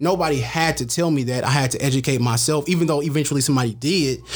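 There is noticeable background noise behind this man. He talks very fast with fairly even intonation. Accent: American. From San Francisco, California. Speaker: media personality. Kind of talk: casual chat.

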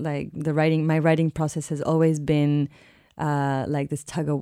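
A woman with a Spanish accent speaks in a very deep, low pitch with a dark, mellow tone and monotone, flat intonation. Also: very clean recording, silent background. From Mexico, raised abroad (South Korea, South Africa, India). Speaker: novelist. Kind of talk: interview. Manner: halting.

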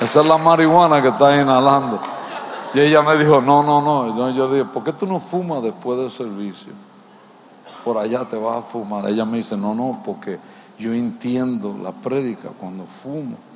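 Audible room echo surrounds a man speaking at a medium pitch and a moderate pace. His tone is animated, with ordinary pitch variation. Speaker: pastor. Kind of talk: sermon.

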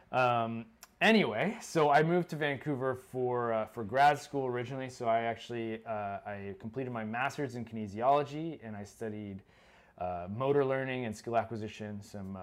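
A man with a normal speaking voice, medium pitch, ordinary pitch variation, moderate pace and big swings in loudness. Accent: American. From Florida. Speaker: parkour coach and podcast co-host. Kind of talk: casual chat.

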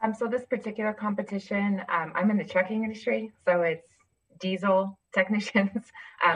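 With ordinary pitch variation, a woman at medium pitch talks at a fairly quick pace. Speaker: corporate event planner. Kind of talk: live Q&A question.

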